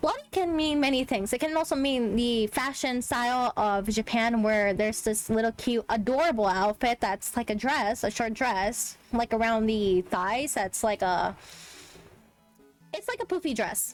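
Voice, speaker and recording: A woman with a slight Spanish accent speaks at a fairly high pitch and a moderate pace. Her pitch variation is ordinary and her loudness very even. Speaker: streamer. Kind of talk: casual commentary on a video. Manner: animated, with many fillers.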